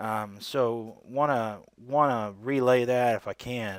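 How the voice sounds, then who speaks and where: An unremarkable speaking voice with ordinary pitch variation, in a very clean recording with a silent background. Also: man. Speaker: religious video creator. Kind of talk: solo video commentary on scripture. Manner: casual, with many fillers.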